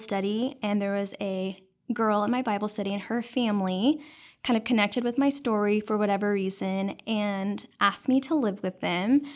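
An unremarkable speaking voice at a moderate pace, with fairly even intonation. The recording is very clean, with a silent background. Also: woman. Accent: American. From Dallas, Texas. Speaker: nonprofit founder and adoptive mother. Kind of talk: casual interview. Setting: studio.

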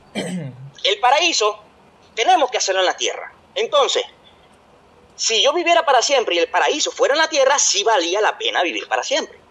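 A man talks at a moderate pace in an extremely high voice with very wide pitch swings. Noticeable background noise runs underneath. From Venezuela. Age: 20s. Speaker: podcast co-host. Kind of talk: casual chat.

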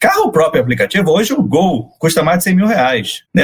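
The voice is a man's, pitched high. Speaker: marketing director. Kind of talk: casual interview.

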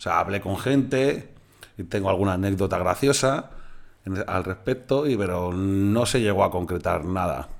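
In a plain, everyday voice, a man speaks fairly slowly at a fairly low pitch with ordinary pitch variation. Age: 30s. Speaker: musician and concert promoter. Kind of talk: casual chat.

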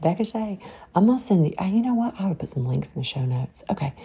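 This woman's voice has a dark, mellow tone with a husky, rough edge and vocal fry.

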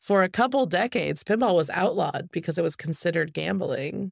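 A woman with an American accent, fairly low in pitch with vocal fry, in a very clean recording with a silent background. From US Pacific Northwest, Spokane, Washington. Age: 30s. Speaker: competitive pinball player. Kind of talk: casual chat.

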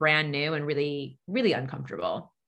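A woman with a Long Island accent, bright and sharp in tone, at a moderate pace. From US Northeast, Long Island, New York. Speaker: dietitian. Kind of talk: podcast interview.

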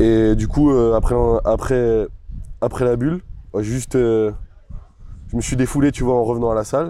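Dark, mellow tone from a man at medium pitch, fairly slow pace and ordinary pitch variation. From France, La Rochelle. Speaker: weightlifter. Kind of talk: casual chat.

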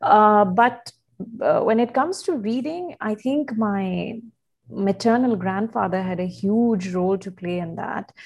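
A woman's fairly high, somewhat breathy voice at a fairly slow pace, with ordinary pitch variation. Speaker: communication specialist and writer. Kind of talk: interview conversation.

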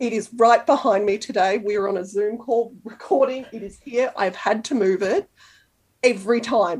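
A woman's fairly high voice in an Australian accent, at a moderate pace with ordinary pitch variation. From Canberra, Australia. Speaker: sewing blogger. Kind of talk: casual interview chat.

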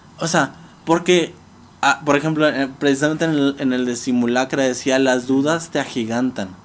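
This man has an ordinary speaking voice with fairly high pitch. He talks at a moderate pace with fairly even intonation. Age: 20s. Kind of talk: casual interview.

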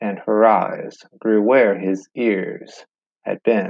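A man talks in a playful tone at a fairly low pitch. His pace is very slow. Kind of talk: poem reading. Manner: playful, storytelling, sing-song rhythm.

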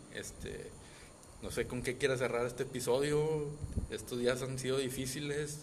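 With a Mexican accent, a man speaks at a moderate pace and medium pitch in a monotone, flat way. Long, frequent pauses break up his speech, and audible room echo is present. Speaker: podcast co-host. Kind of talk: casual chat.

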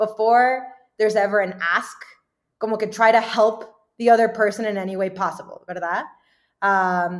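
The woman's medium-pitched voice stays in a monotone, flat intonation. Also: very clean recording, silent background. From US South, Dallas, Texas. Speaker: venture capital investor. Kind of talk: interview.

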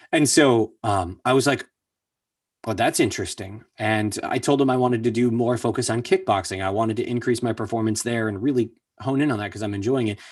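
In a very clean recording with a silent background, a plain, everyday voice moves at a fairly quick pace with fairly even intonation. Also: man, medium pitch for a man. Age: 30s. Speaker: voice actor. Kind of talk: casual chat.

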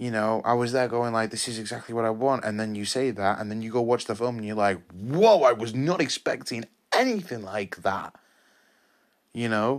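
With a British accent, a man talks at a moderate pace in a medium pitch. His tone is animated and enthusiastic. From England. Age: 20s. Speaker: film review podcaster. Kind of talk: solo film review monologue. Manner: animated, enthusiastic; repetitive, halting with restarts.

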